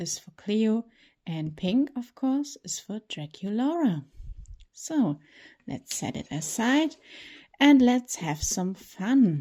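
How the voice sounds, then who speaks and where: Speaking very slowly with a non-native accent, a woman uses a fairly high pitch and a dark, mellow tone, her pitch swinging very widely and her loudness rising and falling sharply. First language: not English. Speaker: toy collector and reviewer. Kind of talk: unboxing tutorial. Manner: casual, slightly halting.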